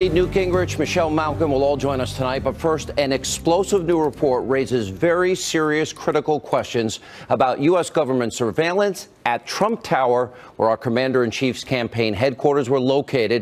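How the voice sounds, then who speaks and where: Lively intonation rides on a moderate pace with hardly any pauses and very even loudness, over noticeable background noise. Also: man, fairly high pitch for a man. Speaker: TV news host. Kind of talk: TV news opening monologue.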